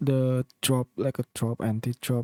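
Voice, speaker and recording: This man has a non-native accent and a dark, mellow tone at medium pitch. The sound is dry and close, with no echo. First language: not English. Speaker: music producer. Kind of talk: tutorial. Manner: halting.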